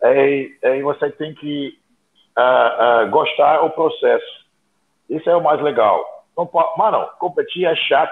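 Long, frequent pauses break up a man's very slow delivery. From outside Brazil. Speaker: bodybuilding podcast co-host. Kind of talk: casual chat.

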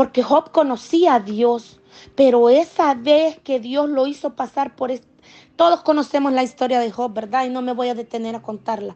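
A high-pitched woman at a moderate pace. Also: ordinary pitch variation. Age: 40s. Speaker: church member giving testimony. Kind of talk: testimony.

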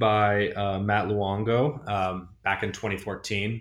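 Speech comes at a very slow pace. It is delivered in an American accent. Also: man. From Northern California. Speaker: tech entrepreneur. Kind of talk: interview. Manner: hesitant, many fillers.

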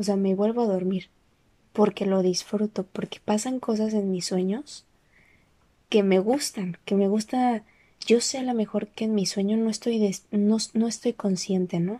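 Soft-spoken and at a fairly slow pace, a woman uses a medium pitch, a dark, mellow tone and fairly even intonation. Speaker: personal audio diarist. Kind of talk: personal monologue.

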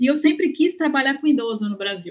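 A woman speaks with lively intonation. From Brazil. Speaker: gerontologist and researcher. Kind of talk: interview. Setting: remote recording from home.

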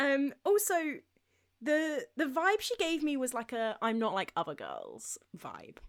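With a British accent, a woman speaks at a high pitch and a fairly slow pace, her pitch swinging very widely. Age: 20s. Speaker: podcast co-host. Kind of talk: casual chat.

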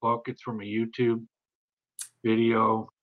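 This is a man speaking. His pitch is medium. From British Columbia, Canada (Bella Bella, then Richmond). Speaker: podcast host. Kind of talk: casual interview chat.

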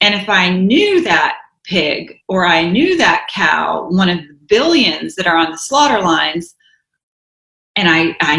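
With an American accent, this woman has a fairly low pitch, lively intonation and an ordinary speaking voice. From US South. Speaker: author and vegan advocate. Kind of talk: interview.

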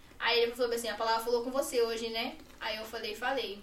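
A woman with a fairly high voice speaks very fast. There is audible room echo and noticeable background noise. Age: young. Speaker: podcast guest sharing life story. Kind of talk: personal testimony.

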